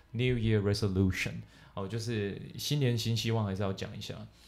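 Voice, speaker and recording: Audible room echo surrounds the speaker. He is a man with a medium-pitched voice. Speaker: English teacher podcast host. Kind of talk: casual bilingual chat.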